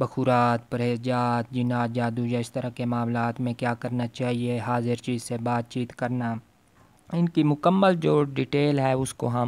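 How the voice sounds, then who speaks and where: A man with a medium pitch talks very slowly, his intonation fairly even. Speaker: spiritual practices teacher. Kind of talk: religious lecture. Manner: strained, labored.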